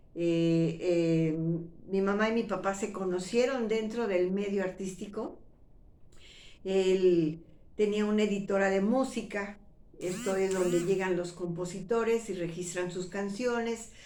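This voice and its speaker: At a fairly slow pace, a woman with a central Mexican accent speaks in a medium pitch with a dark, mellow tone. Her intonation is fairly even, and audible room echo comes through. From Mexico City. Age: 60s. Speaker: retired actress and YouTuber. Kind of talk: personal storytelling monologue. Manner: conversational, with fillers and false starts.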